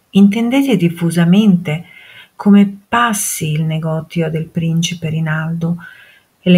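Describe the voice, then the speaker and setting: A normal speaking voice from a woman, fairly low in pitch, with ordinary pitch variation at a fairly slow pace. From Modena, Italy. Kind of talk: dramatic reading of a historical letter.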